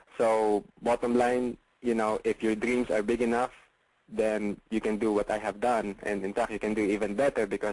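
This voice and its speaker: In a Filipino accent, a man speaks at a moderate pace with fairly low pitch and monotone, flat intonation. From Philippines. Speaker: real estate investor and coach. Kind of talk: webinar sales pitch. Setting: online webinar call. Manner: hesitant, many fillers.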